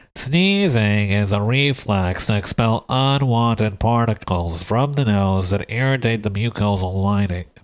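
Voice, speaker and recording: Using a nasal put-on character voice, a man speaks at a fairly low pitch and a moderate pace. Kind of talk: encyclopedia-style read.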